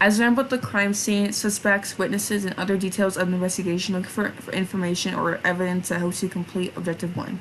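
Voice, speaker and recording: Noticeable background noise sits behind a woman speaking at a very fast pace with hardly any pauses. Her pitch is medium and her intonation fairly even. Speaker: vtuber streamer. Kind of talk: live stream reading game instructions aloud. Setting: live stream. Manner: halting, frequent self-corrections.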